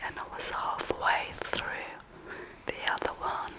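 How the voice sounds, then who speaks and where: Whispering over noticeable background noise. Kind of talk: casual explanation to camera showing printed papers. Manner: soft-spoken, whispering.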